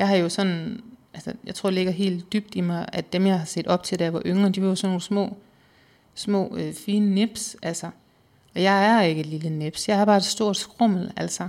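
In a very clean recording with a silent background, a woman with a plain, everyday voice speaks at a medium pitch and a moderate pace, her intonation fairly even. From Southern Jutland, Denmark. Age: 30s. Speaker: weight-loss interviewee. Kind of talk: personal testimony interview.

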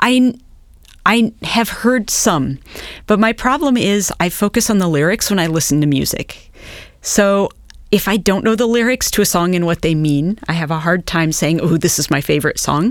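A woman with a Midwestern American accent and lively intonation at a moderate pace, in a very clean recording with a silent background. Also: medium pitch for a woman. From US Midwest, eastern Nebraska. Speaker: historian and beer researcher. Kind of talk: casual interview.

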